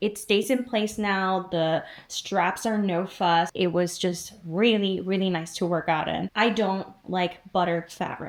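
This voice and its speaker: On a very clean recording with a silent background, a woman speaks with a non-native accent. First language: not English. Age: 50s. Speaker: fitness YouTuber. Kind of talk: product review vlog. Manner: casual, chatty.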